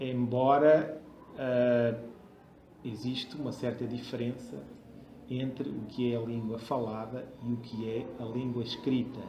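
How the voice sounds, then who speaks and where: Over noticeable background noise and audible room echo, a man talks at a very slow pace in a medium pitch. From Portugal. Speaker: university professor. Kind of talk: interview answers. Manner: formal; hesitant.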